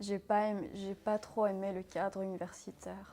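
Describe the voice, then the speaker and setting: Over music in the background, a woman in a medium pitch speaks at a very slow pace with monotone, flat intonation. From Syria, then Belgium from age 12. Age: 20s. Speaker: interviewee. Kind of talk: personal interview testimony. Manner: hesitant, many fillers.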